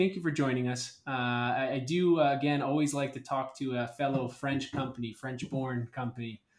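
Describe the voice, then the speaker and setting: Speaking at a fairly quick pace with hardly any pauses, a man uses a fairly high pitch. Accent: American. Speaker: podcast host. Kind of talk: interview.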